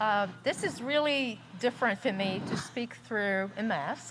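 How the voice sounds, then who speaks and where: With lively intonation and a fairly high pitch, a woman talks over noticeable background noise. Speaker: guest speaker at a service. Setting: speaking through a mask to a live audience.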